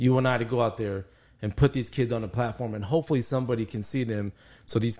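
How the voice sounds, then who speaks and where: A man talks at a very fast pace with a medium pitch. The background is quiet. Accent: American. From El Paso, Texas. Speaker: sports podcast co-host, former football player. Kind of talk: casual chat.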